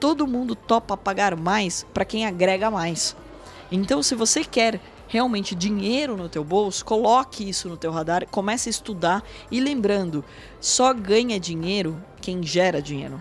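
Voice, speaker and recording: The intonation is lively, with noticeable background noise behind the voice. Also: woman, medium pitch for a woman, fairly slow pace. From Brazil, São Paulo state (Porto Feliz). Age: 30s. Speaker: financial market executive and educator. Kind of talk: interview. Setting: studio.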